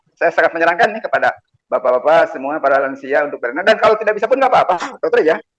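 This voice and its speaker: A man with a high pitch talks at a very fast pace. His intonation is lively. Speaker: retired member asking doctor questions. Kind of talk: video call health Q&A comment. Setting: video call. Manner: halting, many fillers.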